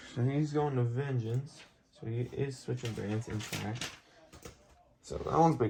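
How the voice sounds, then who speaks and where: Amid noticeable background noise, a man speaks at a moderate pace and medium pitch with fairly even intonation and long, frequent pauses. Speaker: hobbyist video creator running a wrestling draft. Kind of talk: casual solo commentary.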